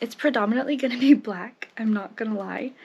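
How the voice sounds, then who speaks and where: This woman's voice sits fairly high in pitch and sounds somewhat breathy. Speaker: lifestyle vlogger. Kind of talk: personal vlog monologue. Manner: casual, conversational.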